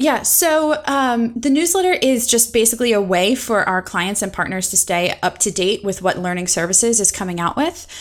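A woman speaks at a fairly high pitch and a moderate pace. Her pitch swings very widely over noticeable background noise. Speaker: instructional designer. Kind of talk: casual interview chat.

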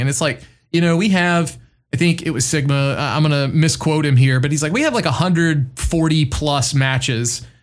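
A man speaks in an unremarkable speaking voice with a fairly high pitch. His pace is moderate, and his pitch varies in an ordinary way. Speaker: podcast co-host. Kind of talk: casual chat.

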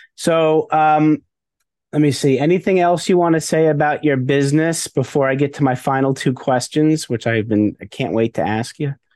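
A man's plain, everyday voice, fairly high in pitch with ordinary pitch variation, at a moderate pace and very even loudness, over a quiet background. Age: 50s. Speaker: podcast host. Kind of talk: interview.

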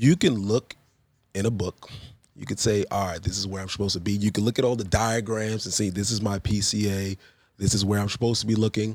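Speaking in a New York accent, a man talks at a very fast pace with a fairly low pitch. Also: fairly even intonation, dry, close sound with no echo. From Queens, New York, then Long Island. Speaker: basketball referee. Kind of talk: casual interview.

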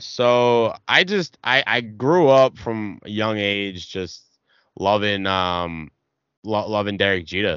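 A man's fairly low voice at a very slow pace, with a strong Boston accent. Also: ordinary pitch variation. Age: 20s. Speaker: gamer and streamer. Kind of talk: casual chat.

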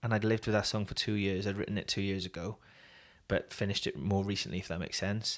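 Talking at a very fast pace, a man with a Welsh accent has a fairly low pitch. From Wales, Swansea. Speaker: worship singer and songwriter, former journalist. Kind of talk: interview.

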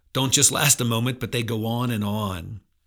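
A normal speaking voice from a man with an American accent, medium in pitch, with fairly even intonation, on a very clean recording with a silent background. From central Pennsylvania. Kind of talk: devotional talk. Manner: conversational.

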